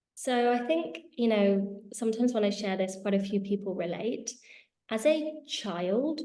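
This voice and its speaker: In a British accent, a woman speaks at a fairly high pitch. She goes fairly slowly, with lively intonation. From England, Spanish family. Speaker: healing school founder and entrepreneur. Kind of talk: interview. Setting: video call.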